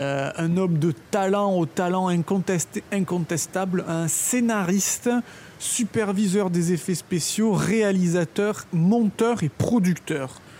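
Over noticeable background noise, a woman speaks at a very slow pace and medium pitch. Her loudness stays very even, and her pitch varies an ordinary amount. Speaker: film podcast co-host. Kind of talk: scripted storytelling about film history.

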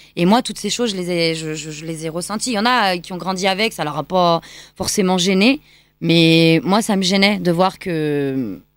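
At a moderate pace, a woman talks in a fairly low pitch with ordinary pitch variation, on a very clean recording with a silent background. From France, Lyon. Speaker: choreographer and dancer. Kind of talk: radio interview. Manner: hesitant fillers.

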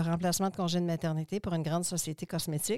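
A woman with a normal speaking voice talks at a fairly low pitch with fairly even intonation. The recording is very clean, with a silent background. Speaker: cosmetics entrepreneur and school founder. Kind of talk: interview.

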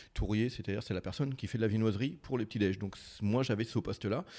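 A man with a dark, mellow tone speaks at a medium pitch with ordinary pitch variation, on a very clean recording with a silent background. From France, Mayenne. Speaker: baker. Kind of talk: casual chat. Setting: back kitchen of a bakery. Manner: halting, many repetitions.

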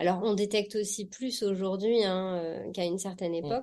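The voice has a dark, mellow tone and moves at a moderate pace with fairly even intonation. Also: woman. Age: 40s. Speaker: personal development practitioner, HPV patient sharing experience. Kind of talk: testimony.

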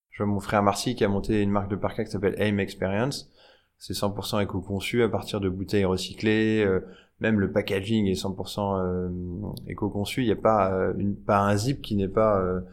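This man's pitch is fairly low and his intonation monotone and flat. He keeps a moderate pace. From France, Nièvre. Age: 30s. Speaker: fashion entrepreneur and tech founder. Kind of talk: casual interview. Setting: showroom.

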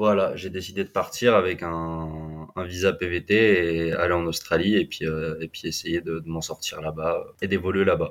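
Very deep, low-pitched man in a flat monotone at a fairly slow pace, very clean recording with a silent background. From western France, Vendée (Atlantic coast). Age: 20s. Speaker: explorer and adventurer. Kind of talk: interview storytelling. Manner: halting, many repetitions and fillers.

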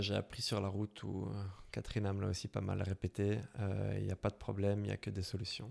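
A man with a Brussels accent speaks at a moderate pace on a very clean recording with a silent background. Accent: Brussels Belgian French, noticeable. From Belgium, Brussels. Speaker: motorcycle traveller. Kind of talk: interview. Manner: hesitant, many fillers.

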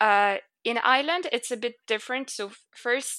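Captured in a very clean, dry, close recording with no echo and a silent background, a woman with a fairly high pitch and a bright, sharp tone speaks at a moderate pace with ordinary pitch variation. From northern France. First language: French. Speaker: expat. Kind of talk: casual chat.

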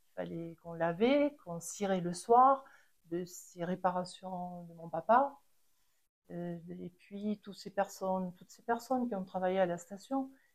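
A woman of medium pitch at a fairly slow pace, with ordinary pitch variation and big swings in loudness. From French Pyrenees, Les Angles. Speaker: chalet owner, ski shop family. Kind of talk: interview storytelling. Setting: at her home. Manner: halting, repeats words.

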